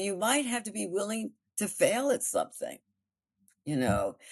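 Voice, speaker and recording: A woman speaks fairly slowly with vocal fry. Her pitch swings very widely over a quiet background. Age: 80s+. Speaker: actress and storyteller. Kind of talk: interview answer.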